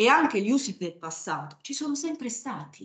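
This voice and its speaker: A woman with an unremarkable speaking voice, lively intonation and a fairly slow pace. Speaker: historian. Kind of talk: academic talk. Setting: stage with audience.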